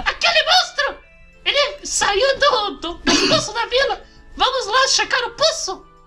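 An extremely high, put-on character voice moves at a fairly slow pace with long, frequent pauses while faint music plays in the background. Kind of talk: reading game dialogue in a playthrough. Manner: excited, alarmed.

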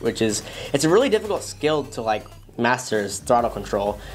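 A man talks at a fairly quick pace while faint music plays behind him. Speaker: FPV drone channel host. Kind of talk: commentary. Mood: enthusiastic, relaxed. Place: studio.

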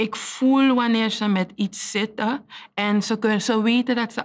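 A woman at a fairly slow pace. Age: 30s. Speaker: teacher; teacher telling life story. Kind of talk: testimony. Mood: earnest, reflective, emotional topic. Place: studio.

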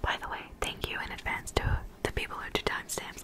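Whispering and soft-spoken, a woman talks at a fairly quick pace over noticeable background noise. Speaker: ASMR creator. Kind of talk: casual vlog chat. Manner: soft close-mic whisper. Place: home room. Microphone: studio mic.

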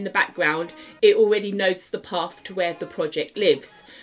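Faint music plays behind a woman who talks at a moderate pace with ordinary pitch variation. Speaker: app development tutor. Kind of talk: tutorial.

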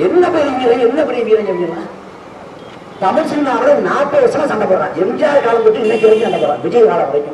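A man speaks at an extremely high pitch with very wide pitch swings. Noticeable background noise runs underneath. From Tamil Nadu, India. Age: 20s. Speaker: political activist; speaker. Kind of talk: protest rally speech. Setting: outdoor protest rally. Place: street.

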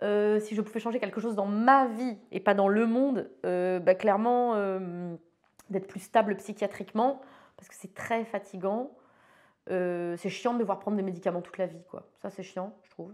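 At a moderate pace, the voice makes big swings in loudness with fairly even intonation over a quiet background. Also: woman. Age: 40s. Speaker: photographer; interviewee. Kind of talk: interview monologue. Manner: hesitant, many fillers and repeats. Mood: candid, reflective. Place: studio.

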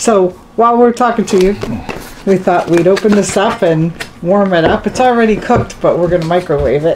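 The speaker moves at a fairly quick pace. Noticeable background noise sits under the voice. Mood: cheerful, enthusiastic. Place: kitchen. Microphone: camera far.

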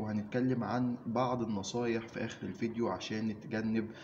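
At a fairly slow pace, a man speaks in a normal speaking voice, fairly low-pitched and fairly even in intonation, over light background noise. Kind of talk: informative talk to camera. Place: office. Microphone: phone near.

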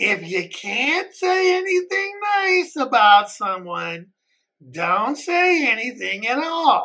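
A put-on character voice at a very slow pace with very wide pitch swings. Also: female-sounding voice, high pitch for a woman. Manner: condescending, mocking.

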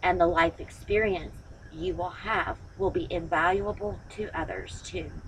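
A woman speaks fairly slowly while light noise sits in the background. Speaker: tarot reader. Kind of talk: tarot reading to camera. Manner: firm, motherly pep talk. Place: home room. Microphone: phone near.

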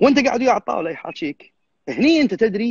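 The voice moves through very wide pitch swings. The sound is dry with no echo and the background is quiet. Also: man. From Kuwait. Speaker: bodybuilding judge. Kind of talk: live stream interview. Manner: fast. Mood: earnest, firm. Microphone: unstable connection, voice cutting out; video call.

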